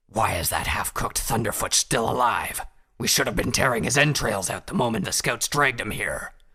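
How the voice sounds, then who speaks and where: Putting on a raspy, growling character voice, a man speaks at a medium pitch and a fairly quick pace. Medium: read story. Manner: snarling, angry.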